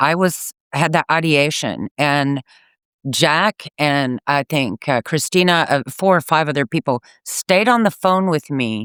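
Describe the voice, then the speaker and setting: On a very clean recording with a silent background, a man with fairly high pitch speaks at a fairly slow pace, his tone bright and sharp, his intonation lively and his loudness very even, in a dry, close sound with no echo. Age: 60s. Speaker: caller. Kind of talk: testimony. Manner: halting.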